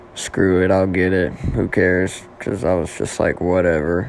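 Someone with an American accent talks over noticeable background noise. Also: man. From Oklahoma. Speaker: podcast host. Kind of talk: casual solo monologue. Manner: casual, filler-heavy.

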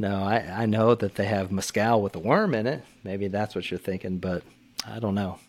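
Here a man talks with a Texan accent. His pace is moderate and his intonation fairly even. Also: fairly low pitch for a man. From Texas. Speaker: retired military pilot. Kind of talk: casual chat. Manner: calm.

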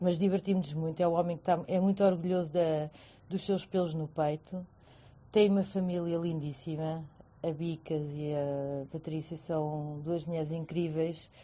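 An ordinary speaking voice from a woman, fairly low in pitch, with fairly even intonation and a moderate pace. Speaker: friend of guest. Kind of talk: casual chat. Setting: online audio room.

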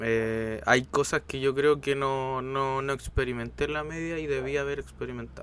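A man's medium-pitched voice in a Chilean accent, monotone and flat in intonation, at a moderate pace with hardly any pauses. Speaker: podcast co-host. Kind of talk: casual chat.

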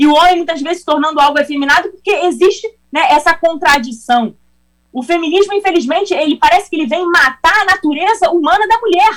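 A woman's extremely high-pitched voice at a very fast pace. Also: ordinary pitch variation. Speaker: congresswoman. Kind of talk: interview.

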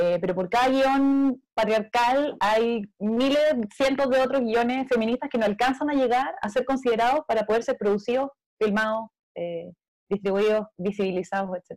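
A woman with a Chilean accent speaks high at a moderate pace. The sound is dry and close with no echo. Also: ordinary pitch variation. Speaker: film director. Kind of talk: panel discussion.

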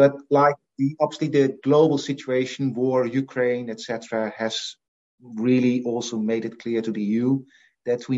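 A man with a Dutch accent talks at a medium pitch. His pace is fairly slow and his intonation fairly even. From Netherlands (Assen, Drenthe; Frisian family). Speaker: professor of animal nutrition. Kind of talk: interview.

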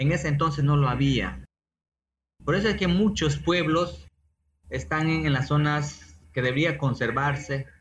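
A man's fairly high, somewhat breathy voice at a fairly slow pace, with ordinary pitch variation, very even loudness, and long, frequent pauses. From Peruvian Amazon, San Martín (Moyobamba). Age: 40s. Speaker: environmental engineer. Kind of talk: interview.

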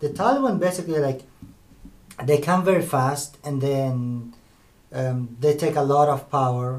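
Over noticeable background noise, a man speaks with ordinary pitch variation and long, frequent pauses. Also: fairly high pitch for a man, moderate pace. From Afghanistan. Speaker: university student. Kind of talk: podcast discussion. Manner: hesitant, many fillers.

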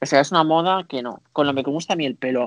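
A man with an ordinary speaking voice speaks at a fairly high pitch with ordinary pitch variation, in a dry, close sound with no echo. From Spain (Barcelona, Catalonia). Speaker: podcast co-host, dancer. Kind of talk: casual chat.

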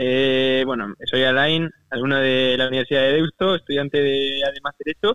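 A man with a fairly high pitch, fairly even intonation and a moderate pace. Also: hardly any pauses, very even loudness. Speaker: university student and entrepreneur. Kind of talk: interview. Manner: casual, halting.

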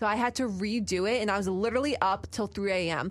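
A woman speaks at a medium pitch with ordinary pitch variation and vocal fry. The recording is very clean, with a silent background. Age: 20s. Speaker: college radio host. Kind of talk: casual chat. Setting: studio.

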